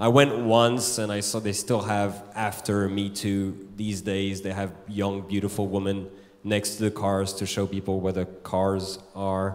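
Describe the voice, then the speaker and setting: Fairly slow delivery in a monotone, flat intonation. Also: man, fairly low pitch for a man. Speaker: stand-up comedian. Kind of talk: stand-up comedy routine. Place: stage. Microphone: handheld.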